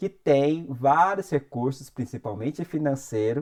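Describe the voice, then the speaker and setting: A man with a fairly high pitch talks at a very slow pace, his intonation lively. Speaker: music industry youtuber. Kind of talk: tutorial.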